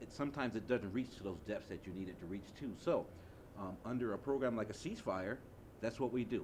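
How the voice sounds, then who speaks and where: A man's medium-pitched voice in an American accent at a very fast pace. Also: ordinary pitch variation. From US Midwest, Chicago. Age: 50s. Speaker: community violence prevention advocate. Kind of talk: panel discussion.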